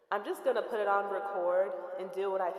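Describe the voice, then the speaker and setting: Room echo can be heard around her voice. The woman keeps a moderate pace. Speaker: musician and composer. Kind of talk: casual voiceover narration. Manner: animated. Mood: playful, chatty. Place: home room.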